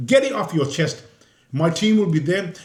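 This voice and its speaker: A man with a Birmingham accent, high in pitch, at a moderate pace. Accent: Birmingham (Brummie) English. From Birmingham, England. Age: 60s. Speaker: independent council candidate. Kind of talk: interview. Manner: repetitive, stammering restarts.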